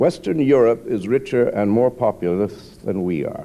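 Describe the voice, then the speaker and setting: With a dark, mellow tone and lively intonation, a man speaks at a moderate pace. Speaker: novelist. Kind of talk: political speech. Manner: dry, sardonic.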